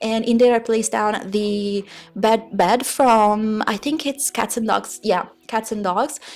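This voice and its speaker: A woman with an Italian accent speaks fairly slowly at a fairly high pitch, her intonation fairly even. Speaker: gaming YouTuber. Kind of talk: voiceover commentary. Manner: halting.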